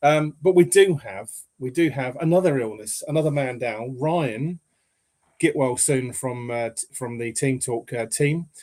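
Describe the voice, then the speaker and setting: With an English accent, a man of medium pitch speaks fairly slowly with ordinary pitch variation and big swings in loudness. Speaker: football podcast host. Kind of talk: casual chat.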